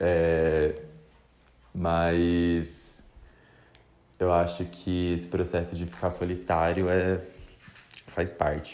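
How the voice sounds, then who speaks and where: A man speaks very slowly in a very deep, low pitch, his tone relaxed and his intonation monotone and flat. Long, frequent pauses break his speech, and audible room echo surrounds it. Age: 20s. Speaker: podcaster, journalist. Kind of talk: casual monologue. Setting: bedroom at home. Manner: relaxed, laughing.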